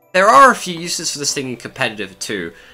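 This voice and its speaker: Music plays behind a man who speaks at a very fast pace. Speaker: video game commentator. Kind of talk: game analysis commentary.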